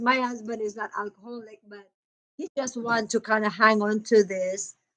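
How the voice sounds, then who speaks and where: Using an animated tone, a woman with a strong Filipino accent speaks at a fairly slow pace and a fairly high pitch. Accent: thick Filipino (Cebuano). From Philippines, Cebu (Cebuano/Bisaya). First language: Cebuano. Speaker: nurse and vlogger. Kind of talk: casual vlog chat. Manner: chatty, animated.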